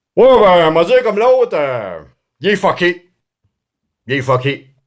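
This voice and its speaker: A man puts on a drawling character voice, high in pitch with very wide swings. His pace is moderate. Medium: read story. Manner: drawling, hesitant, repetitive.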